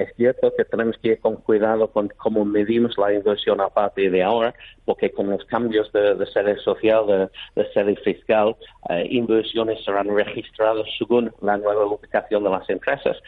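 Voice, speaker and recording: A man speaks at a moderate pace. His loudness stays very even. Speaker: business chamber president. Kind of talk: radio interview. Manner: halting.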